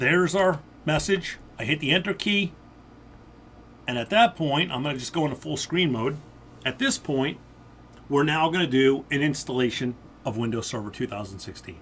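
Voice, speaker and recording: With lively intonation and a fairly high pitch, a man talks with long, frequent pauses. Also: moderate pace. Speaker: IT instructor. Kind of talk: tutorial. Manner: loud.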